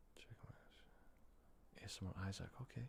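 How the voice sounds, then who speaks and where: A man is whispering. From Scotland. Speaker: ASMR livestreamer. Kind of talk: live stream chat with viewers. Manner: soft-spoken; tired-sounding.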